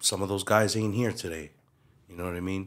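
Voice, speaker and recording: A man speaks with a Hawaiian accent in a very deep, low voice. His intonation is monotone and flat. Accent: Hawaiian local English. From Hawaii, Waipahu. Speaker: community figure. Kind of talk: casual chat.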